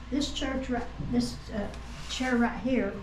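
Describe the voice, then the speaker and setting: A woman with an Appalachian accent and a fairly high pitch, amid noticeable background noise and audible room echo. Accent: Appalachian Kentucky. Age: 80s+. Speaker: church member. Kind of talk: casual interview, guided tour. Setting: church history room. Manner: halting, many fillers.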